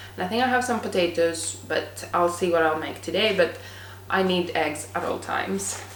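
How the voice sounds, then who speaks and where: Amid noticeable background noise and audible room echo, a woman speaks at a moderate pace. Her fairly low voice moves in very wide pitch swings. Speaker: lifestyle vlogger. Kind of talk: vlog talking to camera.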